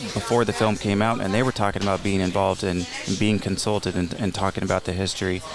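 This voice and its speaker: A man with an American accent speaks very fast at a fairly low pitch, hardly pausing, with monotone, flat intonation and very even loudness over music in the background. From California, Palm Springs. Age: 40s. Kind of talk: casual interview. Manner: halting, frequent repetitions.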